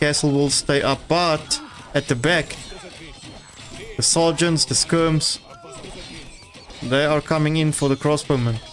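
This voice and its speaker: With a non-native accent, a man speaks at a fairly slow pace and fairly high pitch, with very even loudness and long, frequent pauses, over music in the background. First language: not English. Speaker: game caster. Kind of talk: live commentary. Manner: halting.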